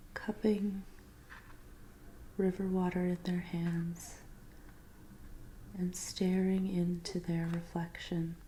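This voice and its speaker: Soft-spoken and very slow, the voice leaves long, frequent pauses. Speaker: tarot reader. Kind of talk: ASMR tarot reading roleplay.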